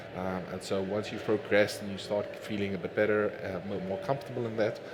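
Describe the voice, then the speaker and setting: Over noticeable background noise and audible room echo, a man with a fairly low pitch talks at a fairly quick pace in a flat monotone. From Namibia. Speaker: fitness coach and bodybuilder. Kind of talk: Q&A at a talk. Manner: hesitant, many fillers.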